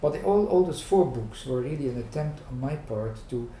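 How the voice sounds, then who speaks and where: Audible room echo is present. The man's pitch variation is ordinary. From Netherlands. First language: Dutch. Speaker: management professor and psychoanalyst. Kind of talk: oral history interview. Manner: halting, many fillers.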